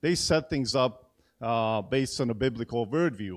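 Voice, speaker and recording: A man at a medium pitch and moderate pace, with a slight Hungarian accent, over a quiet background. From Hungary. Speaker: event host at church. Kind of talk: event introduction speech. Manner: halting, many fillers and repeats.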